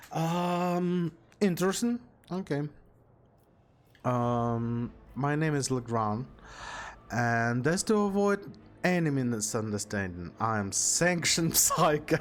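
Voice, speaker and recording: With a non-native accent and a fairly high pitch, a man talks at a very slow pace, leaving long, frequent pauses while his pitch swings very widely. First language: not English. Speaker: gaming streamer. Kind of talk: let's play commentary. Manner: halting.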